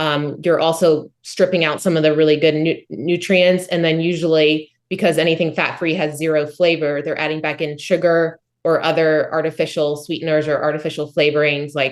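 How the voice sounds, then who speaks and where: At a moderate pace and with hardly any pauses, a woman speaks in a very deep, low pitch with monotone, flat intonation. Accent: American. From US South, Charlotte, North Carolina. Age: 40s. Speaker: author and former competitive runner. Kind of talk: interview.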